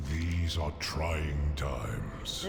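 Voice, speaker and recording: A man puts on a character voice. Loud background noise and slight echo accompany him. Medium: game stream. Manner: solemn, formal.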